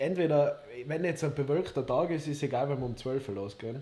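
Fairly quickly, a man speaks in a fairly high, somewhat breathy voice with a dark, mellow tone. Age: 20s. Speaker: podcast co-host. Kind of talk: casual chat. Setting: livestream.

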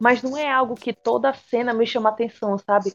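Recorded with a dry, close sound and no echo, a woman with a normal speaking voice talks at a moderate pace and a fairly high pitch, her intonation fairly even. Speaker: podcast co-host. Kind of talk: casual chat.

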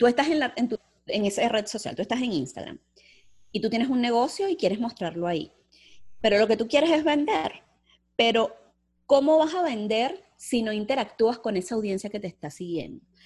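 The speech moves at a fairly quick pace with very wide pitch swings. Long pauses come often. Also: woman, fairly high pitch for a woman. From Venezuela, Puerto Cabello. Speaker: strategic planning specialist and entrepreneur. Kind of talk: interview.

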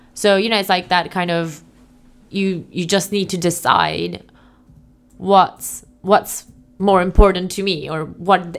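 A woman speaks in an unremarkable speaking voice. Her intonation is fairly even. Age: 30s. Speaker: entrepreneur. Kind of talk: casual chat.

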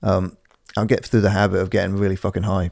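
A man's mumbling, very deep, low voice, dark and mellow in tone, monotone and flat, fairly quick, with a dry, close sound and no echo. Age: 30s. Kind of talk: casual chat. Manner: fast talker.

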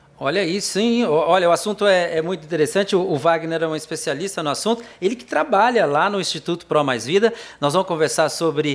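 With an ordinary speaking voice, a man talks in a fairly high pitch with lively intonation. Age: 60s. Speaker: TV talk show host. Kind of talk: interview.

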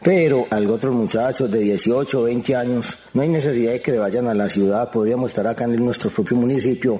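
A man's medium-pitched voice, with fairly even intonation, comes through noticeable background noise. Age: 40s. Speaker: rural development advocate. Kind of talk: radio interview.

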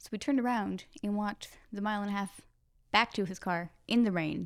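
In a plain, everyday voice, a woman talks at a fairly quick pace with lively intonation, recorded very cleanly over a silent background. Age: 20s. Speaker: web QA engineer, host's fiancee. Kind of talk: casual chat.

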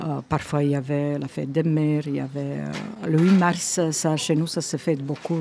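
Background noise is noticeable. The speech unfolds at a fairly slow pace. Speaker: resident. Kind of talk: casual chat.

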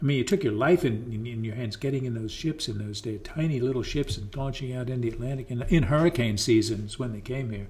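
Someone with an American accent talks at a very fast pace, with hardly any pauses. Pitch variation is ordinary, and noticeable background noise runs underneath. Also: man, medium pitch for a man. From southeastern Pennsylvania, rural. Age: 70s. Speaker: local historian and writer. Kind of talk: casual interview.

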